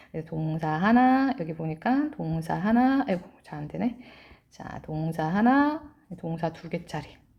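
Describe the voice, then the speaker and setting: Her intonation swings very widely in pitch and her loudness rises and falls greatly. This woman speaks at a very slow pace in a fairly low, somewhat breathy voice. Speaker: English teacher. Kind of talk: lecture. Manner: animated.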